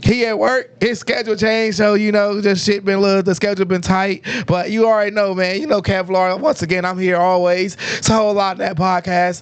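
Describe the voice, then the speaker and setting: The speaker has an American accent and an animated tone. The pace is fairly quick, and loudness stays very even. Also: man, high pitch for a man. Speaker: podcast host. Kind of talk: casual chat. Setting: livestream podcast.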